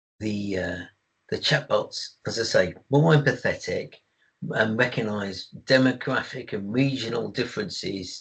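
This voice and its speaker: With an English accent, a man speaks at a fairly slow pace in a medium pitch with lively intonation. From England. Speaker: IT service management expert. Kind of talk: webinar presentation. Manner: halting with fillers.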